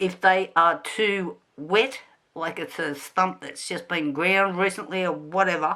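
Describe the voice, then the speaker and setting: A woman with an Australian accent mumbles at a fairly slow pace in a bright, sharp tone and medium pitch. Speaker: gardening YouTuber. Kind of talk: tutorial. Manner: mumbling; casual, many fillers.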